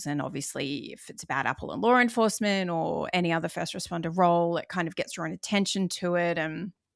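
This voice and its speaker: In a very clean recording with a silent background, a woman with an Australian accent speaks very fast at a fairly low pitch. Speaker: former police officer, first responder wellness coach. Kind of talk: interview answer.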